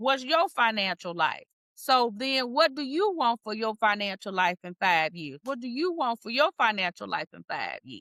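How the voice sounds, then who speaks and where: Delivered at a moderate pace with hardly any pauses, the voice shows very wide pitch swings and big swings in loudness. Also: woman, fairly high pitch for a woman. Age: 60s. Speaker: podcast host and retirement planning coach. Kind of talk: casual chat.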